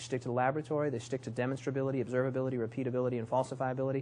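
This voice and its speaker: At medium pitch, a man speaks in a somewhat breathy voice. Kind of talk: lecture. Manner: fast; hesitant, many fillers.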